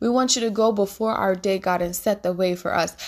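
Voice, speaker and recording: A woman with an unremarkable speaking voice, medium pitch and ordinary pitch variation, in a very clean recording with a silent background. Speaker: minister and podcast host. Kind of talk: fervent prayer, spoken aloud to God. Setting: podcast recording, addressing listeners. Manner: warm, earnest, pleading, with repeated invocations; heartfelt, intimate, devotional.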